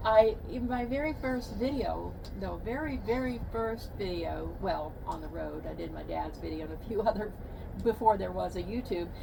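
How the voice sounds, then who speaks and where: A woman with an American accent at a moderate pace, big swings in loudness, noticeable background noise and audible room echo. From Texas. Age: 70s. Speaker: van life vlogger. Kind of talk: casual chat. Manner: halting.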